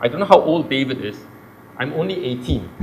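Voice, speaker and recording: A man's voice with audible room echo. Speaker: oncologist. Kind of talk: public talk. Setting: stage with audience. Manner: loud.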